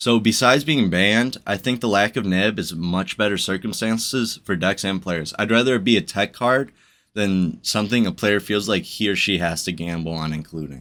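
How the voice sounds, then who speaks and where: Here is an ordinary speaking voice at a moderate pace with ordinary pitch variation. The recording is very clean, with a silent background. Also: man, fairly low pitch for a man, hardly any pauses. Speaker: YouTuber discussing card games. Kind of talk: commentary video monologue.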